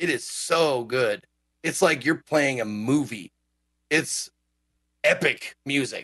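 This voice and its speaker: At a very slow pace, a man speaks at a fairly high pitch with ordinary pitch variation, in a dry, close sound with no echo. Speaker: podcast co-host. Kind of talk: casual chat. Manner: casual, jokey.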